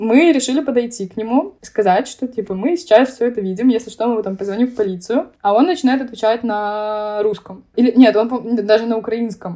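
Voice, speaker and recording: A woman's fairly high voice, dark and mellow in tone, with lively intonation at a moderate pace. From Belarus, Minsk. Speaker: university student. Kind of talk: casual interview.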